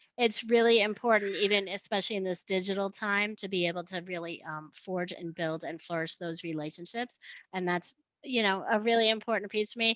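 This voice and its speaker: A woman's medium-pitched voice with a New York accent, fairly quick pace, and ordinary pitch variation. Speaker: sales manager. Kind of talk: webinar self-introduction.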